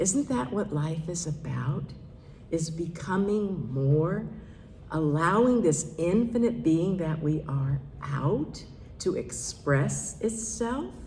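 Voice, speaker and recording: Very slowly, a woman speaks in a very deep, low voice with a dark, mellow tone, vocal fry and lively intonation, with audible room echo. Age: 70s. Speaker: minister. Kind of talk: sermon. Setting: church service.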